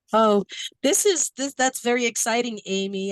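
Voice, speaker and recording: A woman with an American accent talks at a moderate pace. The sound is dry and close, with no echo. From New York, Brooklyn. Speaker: workshop facilitator. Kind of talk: online training workshop. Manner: animated.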